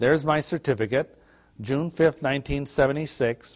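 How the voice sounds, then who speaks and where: A normal speaking voice belongs to a man with an American accent. He talks at a fairly quick pace with fairly even intonation. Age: 50s. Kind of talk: lecture.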